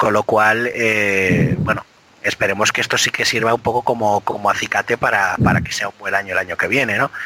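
Against noticeable background noise, a man speaks at a fairly quick pace with a fairly low pitch and monotone, flat intonation, in a dry, close sound with no echo. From Spain, Biscay (Basque Country). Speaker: motorsport podcast co-host. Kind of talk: casual chat.

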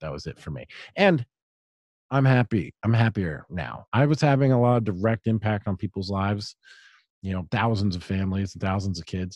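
An unremarkable speaking voice with lively intonation and an American accent. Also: man, fairly low pitch for a man. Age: 40s. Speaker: writer and podcaster. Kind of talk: interview conversation.

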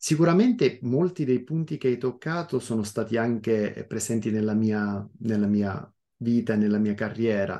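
Over a quiet background, a man with a dark, mellow tone and medium pitch talks at a moderate pace with ordinary pitch variation. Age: 40s. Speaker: podcast host. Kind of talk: interview. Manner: halting, frequent repetitions.

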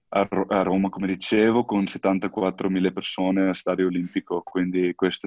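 A man speaks at a moderate pace with very deep, low pitch. His intonation is monotone and flat. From South Africa. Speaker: professional rugby player. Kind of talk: interview. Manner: halting, repeats words.

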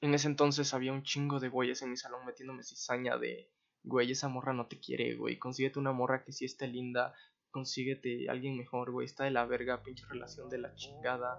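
A man at medium pitch speaks at a moderate pace in a flat monotone, his loudness swinging widely. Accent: Mexican. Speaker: podcast host. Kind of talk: solo storytelling monologue. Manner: casual, profanity-laden slang.

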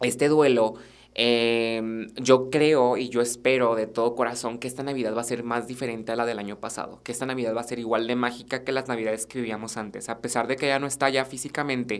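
Delivered at a fairly quick pace, the speech sits on a very clean recording with a silent background. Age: 20s. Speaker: student podcast host. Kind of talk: casual monologue.

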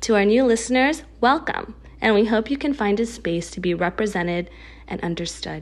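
A woman with an American accent talks at a moderate pace with lively intonation in a plain, everyday voice. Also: medium pitch for a woman. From US, Filipino American. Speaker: mental health practitioner and podcast host. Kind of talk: scripted intro.

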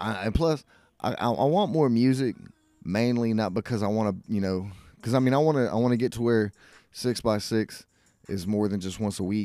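An American accent at a fairly quick pace over music in the background. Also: man, medium pitch for a man, ordinary pitch variation. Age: 40s. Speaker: podcast host. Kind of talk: casual chat. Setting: garage.

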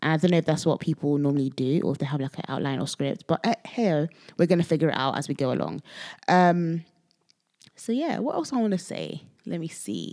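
A woman with a very deep, low pitch speaks at a fairly quick pace, with lively intonation and vocal fry. The recording is very clean, with a silent background. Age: 20s. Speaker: podcaster. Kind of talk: casual solo monologue. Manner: halting, stutters at times.

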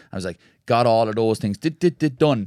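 A man with a fairly low pitch and a dark, mellow tone, lively intonation, an Irish accent, and a very clean recording with a silent background and a dry, close sound with no echo. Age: young. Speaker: ultra endurance runner. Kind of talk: casual chat. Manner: lilting, poetic delivery.

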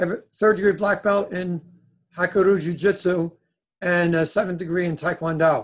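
At a moderate pace, a man speaks in a high pitch with fairly even intonation. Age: 60s. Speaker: chiropractor and martial artist. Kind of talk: interview. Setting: remote call.

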